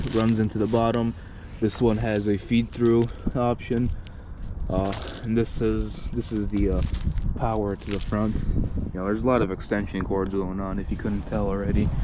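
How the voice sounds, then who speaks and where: This man's voice is fairly low in pitch, with monotone, flat intonation. Noticeable background noise runs under the recording. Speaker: hobbyist showing his Christmas light display. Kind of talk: walkthrough tutorial. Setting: outdoors in cold icy weather. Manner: casual, with many fillers.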